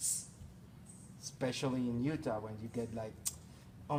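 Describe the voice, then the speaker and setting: A man with a Spanish accent speaks in a somewhat breathy voice. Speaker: sound engineering instructor. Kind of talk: technical workshop.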